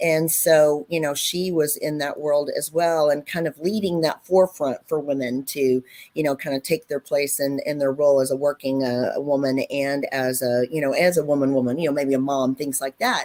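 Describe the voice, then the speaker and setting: This woman speaks with a Texan accent at a very deep, low pitch and a dark, mellow tone. Her moderate pace has hardly any pauses, and her intonation is fairly even. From West Texas (Lubbock). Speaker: physician. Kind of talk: panel discussion. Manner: halting.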